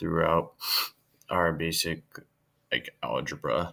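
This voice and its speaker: Here a man speaks with a very deep, low pitch. His tone is bright and sharp, and his pace is fairly slow. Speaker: engineering student. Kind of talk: tutorial. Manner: hesitant, many fillers.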